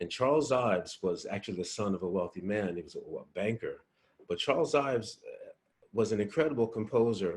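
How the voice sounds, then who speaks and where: Somewhat breathy, a man talks at a medium pitch and a fairly quick pace. His intonation is lively, with big swings in loudness. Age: 60s. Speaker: musician. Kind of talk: interview. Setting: video call. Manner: halting.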